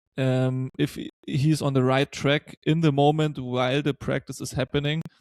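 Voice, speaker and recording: A man with a German accent speaks at a fairly high pitch and a fairly slow pace in a monotone, flat intonation. The recording is very clean with a silent background and a dry, close sound with no echo. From Germany. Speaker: podcast host. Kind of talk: podcast interview.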